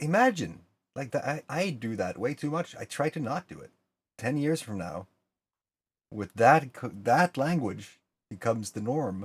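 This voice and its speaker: In a very clean recording with a silent background and a dry, close sound with no echo, a man of medium pitch speaks at a moderate pace, somewhat breathy, with very wide pitch swings, big swings in loudness and long, frequent pauses. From Norway. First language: Norwegian. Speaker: channel host, community talk. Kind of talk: casual chat.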